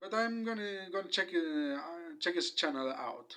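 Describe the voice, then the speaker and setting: Very wide pitch swings and a bright, sharp tone mark this fairly slow delivery in a Spanish accent. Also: man. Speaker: YouTuber. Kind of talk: video commentary. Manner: halting, many fillers.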